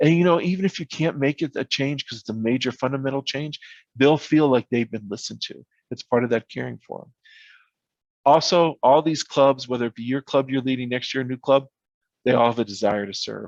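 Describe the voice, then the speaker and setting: Over a quiet background, a man talks at a fairly quick pace and a medium pitch with ordinary pitch variation and big swings in loudness, the sound dry and close with no echo. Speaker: visiting speaker at training seminar. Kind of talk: virtual seminar talk. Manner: fast.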